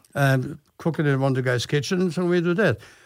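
With a German accent, a man speaks at a moderate pace in a fairly high pitch with ordinary pitch variation, on a very clean recording with a silent background. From Germany. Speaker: chef and TV host. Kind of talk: casual interview.

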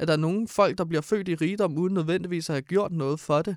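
A man's high-pitched voice at a fairly quick pace, dry and close with no echo, on a very clean recording with a silent background. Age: 20s. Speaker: radio co-host. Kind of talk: casual chat.

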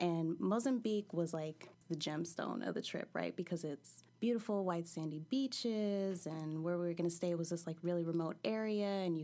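A woman's fairly low, dark, mellow voice at a moderate pace, with ordinary pitch variation, on a very clean recording with a silent background. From California. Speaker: storyteller. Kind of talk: personal storytelling. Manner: casual, laughing.

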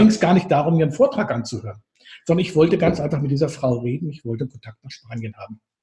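Somewhat breathy and fairly high-pitched, a man speaks in a dark, mellow tone. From northern Germany. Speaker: therapist trainer. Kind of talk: casual interview.

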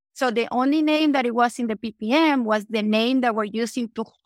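A woman with a Venezuelan accent speaks fairly quickly in a high pitch with ordinary pitch variation, the sound dry and close with no echo. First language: Spanish. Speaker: entrepreneur. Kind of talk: interview.

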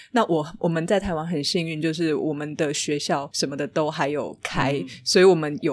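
A woman's very deep, low pitch with ordinary pitch variation and a Taiwanese accent. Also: very clean recording, silent background. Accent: Taiwanese Mandarin. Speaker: author. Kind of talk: casual interview.

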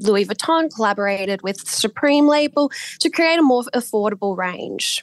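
A woman with an Australian accent, medium pitch, lively intonation and a moderate pace, in dry, close sound with no echo and a quiet background. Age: 20s. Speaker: market research analyst. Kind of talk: interview.

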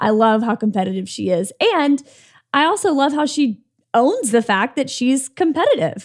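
Over a silent background in a very clean recording, a woman with a high pitch speaks at a moderate pace. Her delivery is animated and sing-song, with very wide pitch swings. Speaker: podcast co-host. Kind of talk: casual interview chat. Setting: studio. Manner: animated, sing-songy.

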